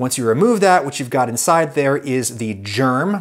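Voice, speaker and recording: An ordinary speaking voice from a man at medium pitch, with an American accent, lively intonation and a moderate pace. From United States. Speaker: food video creator. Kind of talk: scripted narration.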